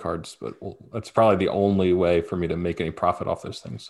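A man speaks in a very deep, low voice. His intonation is fairly even. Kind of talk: casual sports banter. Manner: laid-back, joking, casual.

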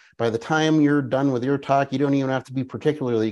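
Against a quiet background, a man speaks. His pitch is fairly high. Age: 50s. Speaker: business coach and author. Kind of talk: interview. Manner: animated.

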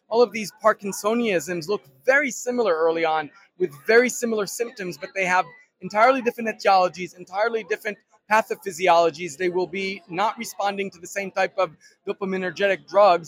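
The speech runs at a fairly quick pace with ordinary pitch variation and big swings in loudness, in a dry, close sound with no echo. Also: man, high pitch for a man. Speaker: startup founder. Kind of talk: interview answers.

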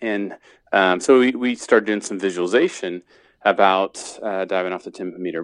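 A man speaks with an American accent at a moderate pace and fairly low pitch, with ordinary pitch variation. He has an unremarkable speaking voice against a quiet background. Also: dry, close sound with no echo. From Indiana, US Midwest. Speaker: sports psychologist and performance consultant. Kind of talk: interview.

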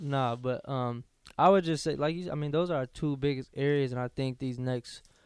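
A man's medium-pitched voice at a moderate pace, with ordinary pitch variation and a dry, close sound with no echo. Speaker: college basketball player co-hosting radio show. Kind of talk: casual chat. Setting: studio. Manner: animated.

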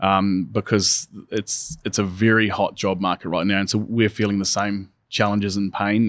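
In a very clean recording with a silent background and a dry, close sound with no echo, a man with a New Zealand accent talks at a fairly low pitch in a monotone, flat intonation. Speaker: software company country manager. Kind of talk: podcast interview. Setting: in person at a conference.

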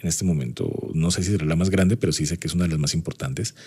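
A man with a dark, mellow tone at a very fast pace. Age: 40s. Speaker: university lecturer and marketing consultant. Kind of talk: personal anecdote; podcast lecture.

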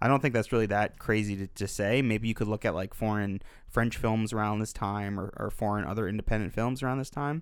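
Fairly low in pitch, a man with an unremarkable speaking voice talks at a fairly quick pace with fairly even intonation and hardly any pauses. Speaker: podcast co-host, film reviewer. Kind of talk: casual film discussion.

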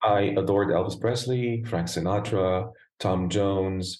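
A man's very deep, low voice with an American accent, fairly even intonation and a very slow pace. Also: quiet background. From Lebanon, Beirut. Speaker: opera and crossover singer. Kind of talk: interview. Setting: video call.

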